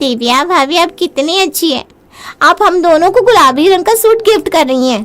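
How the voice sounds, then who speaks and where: A woman's cartoonish character voice, extremely high in pitch, at a moderate pace. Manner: bubbly, wheedling.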